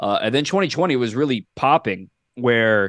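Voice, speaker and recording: An unremarkable speaking voice from a man, medium in pitch with ordinary pitch variation, at a moderate pace, with a quiet background and a dry, close sound with no echo. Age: 20s. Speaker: baseball broadcaster. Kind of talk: casual chat. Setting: podcast interview.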